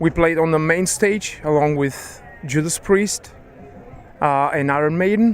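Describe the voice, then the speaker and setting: Noticeable background noise sits under the speech. The voice carries a Bulgarian accent, a fairly slow pace and ordinary pitch variation. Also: man. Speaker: band member. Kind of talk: interview.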